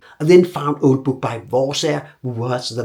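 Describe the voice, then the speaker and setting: With a Danish accent, a man speaks at a moderate pace in a somewhat breathy, medium-pitched voice with ordinary pitch variation. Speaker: archer. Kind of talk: documentary narration.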